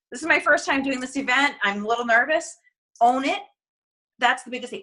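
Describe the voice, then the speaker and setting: Her voice is high-pitched, and the woman's tone is bright and sharp. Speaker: network marketing team trainer. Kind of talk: motivational training call. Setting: recorded conference call. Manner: fast when excited; animated.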